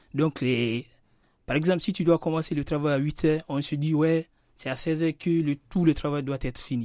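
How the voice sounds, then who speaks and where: Recorded very cleanly against a silent background, a man with a fairly high pitch and a dark, mellow tone speaks with fairly even intonation in a dry, close sound with no echo. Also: moderate pace. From Guinea. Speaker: Guinean immigrant. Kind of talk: radio interview. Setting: radio studio.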